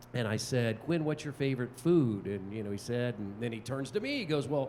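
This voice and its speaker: A man speaks at a moderate pace. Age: 60s. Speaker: TV play-by-play sports broadcaster. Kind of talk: panel talk. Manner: hesitant, many fillers and restarts.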